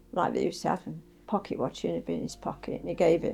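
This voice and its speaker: Music plays in the background. A woman is talking over it. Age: 80s+. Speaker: retired district nurse. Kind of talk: interview answer.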